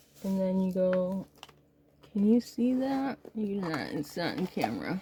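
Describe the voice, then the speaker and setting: Over noticeable background noise, a soft-spoken woman talks at a fairly slow pace and medium pitch with lively intonation. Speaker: crafter. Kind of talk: tutorial. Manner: casual.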